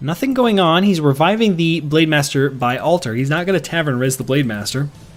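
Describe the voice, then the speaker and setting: A man talks at a fairly quick pace with fairly high pitch and lively intonation. Music plays in the background. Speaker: game commentator. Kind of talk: esports play-by-play commentary.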